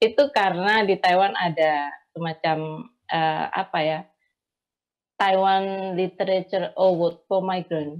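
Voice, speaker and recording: Ordinary pitch variation marks this voice, which proceeds at a very slow pace. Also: woman, medium pitch for a woman, quiet background. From Indonesia, Javanese from Blitar, raised partly in Sumatra. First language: Javanese (speaking Indonesian). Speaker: migrant domestic worker and writer. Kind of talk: online panel discussion.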